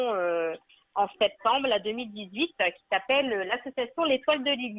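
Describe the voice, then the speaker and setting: A woman speaks at a fairly high pitch with a slight northern French accent. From northern France (Nord, Arleux). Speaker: animal welfare association founder. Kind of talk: radio interview.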